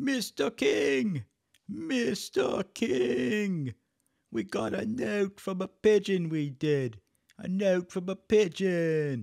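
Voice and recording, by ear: Putting on a character voice, a man speaks at a high pitch and a very slow pace.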